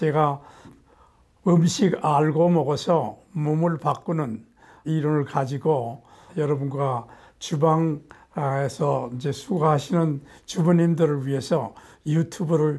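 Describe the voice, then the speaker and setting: Somewhat breathy and fairly high in pitch, a man speaks at a very slow pace with fairly even intonation. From Korea, Gangwon Province. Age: 80s+. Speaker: nutrition professor. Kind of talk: lecture to camera.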